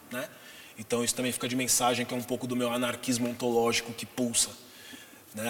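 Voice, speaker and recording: Over noticeable background noise, a man talks very fast at a medium pitch with monotone, flat intonation. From Brazil, São Paulo (Zona Norte). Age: 40s. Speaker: podcast guest discussing masculinity. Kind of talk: casual interview conversation.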